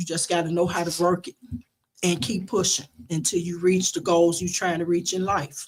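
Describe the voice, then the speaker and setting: A woman's somewhat breathy voice, fairly low in pitch, holds a flat monotone at a moderate pace. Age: 60s. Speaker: family member guest on radio show. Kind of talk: casual chat.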